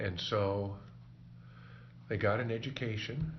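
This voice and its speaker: Against audible room echo, a man with a Midwestern US accent speaks at a fairly low pitch, somewhat breathy. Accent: US Midwest. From Kansas. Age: 70s. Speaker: oral history interviewee. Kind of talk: oral history interview.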